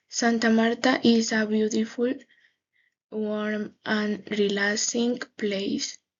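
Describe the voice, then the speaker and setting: The intonation stays fairly even. The pace is very slow. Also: woman. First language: Spanish. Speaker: English language student. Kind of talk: class presentation. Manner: halting.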